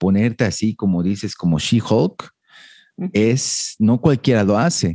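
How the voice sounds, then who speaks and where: A man at a fairly slow pace with lively intonation and a dark, mellow tone, in a dry, close sound with no echo against a quiet background. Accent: Mexican. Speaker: fitness podcast host. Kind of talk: casual interview.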